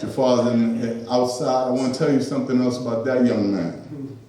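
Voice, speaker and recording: Noticeable background noise and audible room echo surround this recording. A man talks at a medium pitch. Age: 60s. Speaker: event host. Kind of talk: closing remarks at open mic.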